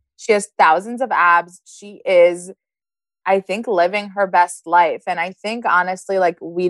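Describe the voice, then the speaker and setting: A woman at a moderate pace, fairly even intonation, in a dry, close sound with no echo. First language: Hebrew. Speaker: podcast guest, host's sister. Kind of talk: casual chat.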